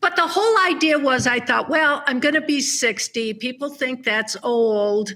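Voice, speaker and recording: A woman's raised, projected, high-pitched voice with lively intonation, very even loudness, a moderate pace and hardly any pauses. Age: 70s. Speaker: author. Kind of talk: interview.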